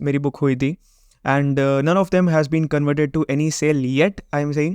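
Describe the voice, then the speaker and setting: In a Gujarati accent, a man speaks at a fairly high pitch and moderate pace, with a dry, close sound and no echo. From Gujarat, India. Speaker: web design and SEO agency owner, YouTuber. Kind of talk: vlog intro monologue, mixed Hindi and English.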